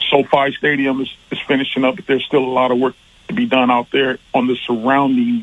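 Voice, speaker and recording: A man speaks at a medium pitch. His pace is fairly quick and his intonation fairly even. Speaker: caller, union construction tradesman. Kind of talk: radio call-in. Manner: quiet, even tone.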